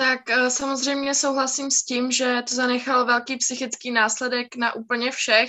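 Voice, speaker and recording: A monotone, flat delivery at a fairly slow pace. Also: woman, high pitch for a woman. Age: young. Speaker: art history student. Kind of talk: group discussion.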